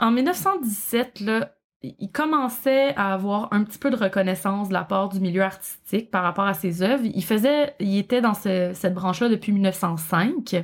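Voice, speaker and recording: With a Quebec accent, a woman speaks at a medium pitch with ordinary pitch variation and hardly any pauses. Her pace is fairly slow, and the recording is very clean with a silent background. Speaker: podcast co-host and true crime fan. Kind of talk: casual storytelling chat on a livestream. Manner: tries to speak slowly.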